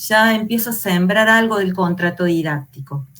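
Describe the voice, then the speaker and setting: At a fairly slow pace, a woman speaks in a plain, everyday voice, medium in pitch, with ordinary pitch variation. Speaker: teacher trainer. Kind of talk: online lecture.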